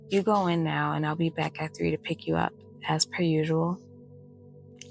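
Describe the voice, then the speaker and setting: A soft-spoken woman at a fairly slow pace over music in the background. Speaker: bedtime story reader. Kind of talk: bedtime story reading.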